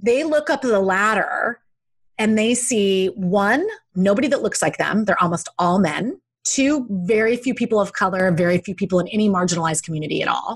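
A somewhat breathy woman's voice moves at a fairly brisk speed. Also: medium pitch for a woman, lively intonation, quiet background. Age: 40s. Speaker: life coach and author. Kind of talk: interview conversation.

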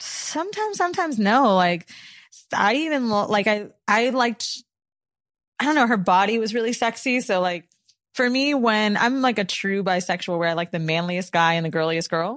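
In an American accent, a woman speaks at a moderate pace in an ordinary speaking voice, fairly high in pitch. Her intonation is lively, and the recording is very clean with a silent background. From Florida. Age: 30s. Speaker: podcast co-host. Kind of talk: casual chat.

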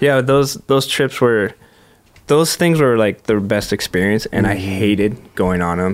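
Speaking fairly slowly in an ordinary speaking voice, a man with an American accent keeps a fairly low pitch and very even loudness. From Southern California (Huntington Beach). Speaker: professional skateboarder. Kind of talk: casual interview chat.

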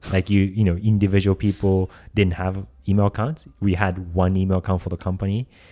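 Recorded very cleanly with a silent background and a dry, close sound with no echo, a man with a Japanese accent speaks at a fairly quick pace in a very deep, low, dark and mellow voice with monotone, flat intonation. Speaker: advertising agency founder. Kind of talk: interview. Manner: halting, many fillers.

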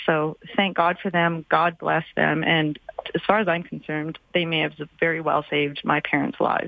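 A normal speaking voice from a woman, fairly low in pitch, with fairly even intonation at a moderate pace. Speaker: infectious disease doctor. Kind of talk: expert interview.

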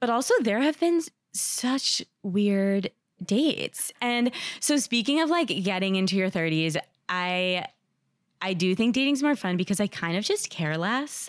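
A woman with an American accent speaks fairly slowly at medium pitch with very wide pitch swings and very even loudness, in a dry, close, very clean recording with a silent background. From New Jersey. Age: 30s. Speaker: anonymous dater sharing her story. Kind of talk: casual interview.

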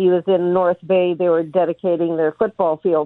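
At a moderate pace, a woman with a fairly low pitch speaks in an ordinary speaking voice. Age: 60s. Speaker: caller. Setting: phone call.

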